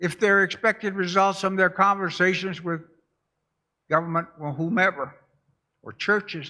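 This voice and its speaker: A man speaks in a raised, projected voice with a bright, sharp tone and high pitch, at a moderate pace with fairly even intonation. Long pauses come often, and the recording is very clean with a silent background. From Alaska, North Slope (Barrow). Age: 80s+. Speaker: pastor. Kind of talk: testimony.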